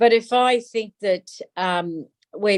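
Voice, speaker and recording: Recorded dry and close with no echo, a woman with an Australian accent speaks at medium pitch. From Darwin, Northern Territory, Australia. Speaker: politician, federal member of parliament. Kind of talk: interview answer.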